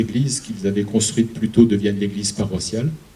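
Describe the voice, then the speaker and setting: Through noticeable background noise and audible room echo, a man with an Alsatian accent talks at a fairly quick pace in a fairly low pitch. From Alsace, France. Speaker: museum curator. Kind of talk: public lecture.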